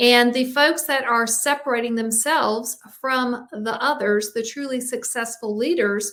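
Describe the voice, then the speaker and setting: A woman in a Southern US accent speaks at a fairly high pitch with fairly even intonation. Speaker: executive coach and podcast host. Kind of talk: live stream talk on leadership. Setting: live video stream.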